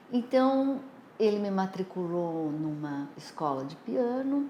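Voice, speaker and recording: Very wide pitch swings mark a woman's dark, mellow tone. She talks at a very slow pace with audible room echo. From Brazil, São Paulo. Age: 60s. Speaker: nursing professor. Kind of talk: life story interview.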